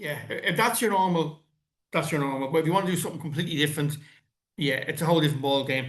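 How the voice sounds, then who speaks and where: A man with an Irish accent, a fairly high pitch and ordinary pitch variation, with audible room echo. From Ireland. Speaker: podcast host. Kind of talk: casual interview chat. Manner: halting, repeats words.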